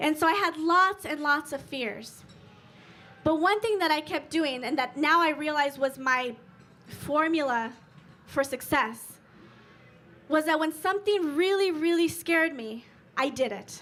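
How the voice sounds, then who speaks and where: With long, frequent pauses, a woman speaks at a fairly slow pace in a high voice. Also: ordinary pitch variation. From Sicily, Italy. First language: Italian (Sicilian). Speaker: life coach and motivational speaker. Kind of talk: motivational talk. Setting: stage with audience. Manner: animated.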